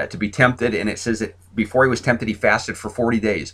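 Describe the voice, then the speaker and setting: A man rattles off his words very fast, his pitch in the medium range. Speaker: pastor. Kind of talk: sermon. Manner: halting, many repeated words.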